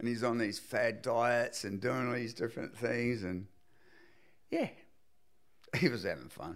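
With a New Zealand accent, a man at medium pitch speaks at a fairly slow pace with ordinary pitch variation. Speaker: surfboard shaper. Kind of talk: casual chat.

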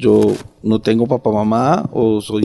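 The man's voice has a dark, mellow tone. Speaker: book editor. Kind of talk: casual interview chat.

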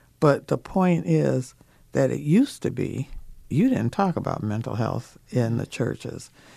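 Recorded very cleanly over a silent background, a woman speaks at a fairly slow pace. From Minnesota. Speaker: mental health advocate and church ministry leader. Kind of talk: radio interview.

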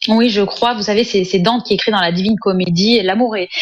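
Over noticeable background noise, a woman with a Parisian accent speaks at a moderate pace in a fairly high pitch with ordinary pitch variation. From France, Sarcelles (Paris suburbs). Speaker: essayist and journalist. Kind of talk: interview.

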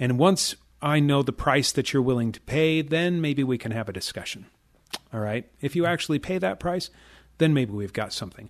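A man talks at a moderate pace in an ordinary speaking voice, fairly high in pitch, with lively intonation. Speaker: trading educator and radio show host. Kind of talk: radio show talk with a sales pitch. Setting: radio studio.

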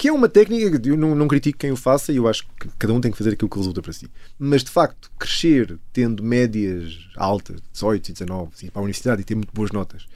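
Fairly quick delivery from a man, his pitch swinging very widely. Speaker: chemist and pianist, author. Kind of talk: interview.

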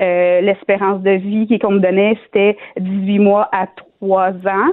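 A woman's voice at a medium pitch. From Quebec, Shawinigan. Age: 30s. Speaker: cancer patient. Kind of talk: testimony. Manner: halting.

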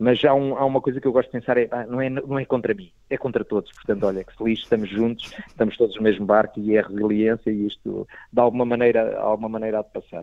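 With a normal speaking voice, a man talks at a fairly quick pace in fairly even intonation. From Portugal (Proença Nova, Algarve). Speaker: stand-up comedian. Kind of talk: casual interview.

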